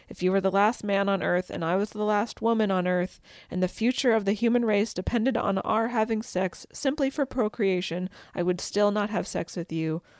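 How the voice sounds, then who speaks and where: The pace is moderate, and the pitch variation is ordinary in a normal speaking voice. No echo colors the dry, close sound. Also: woman, medium pitch for a woman. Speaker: podcast host. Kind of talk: casual chat.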